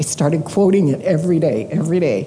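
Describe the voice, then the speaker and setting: A woman talks at a moderate pace with a fairly low pitch. There is noticeable background noise. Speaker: missionary. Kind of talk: ministry report to a church. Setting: church with audience.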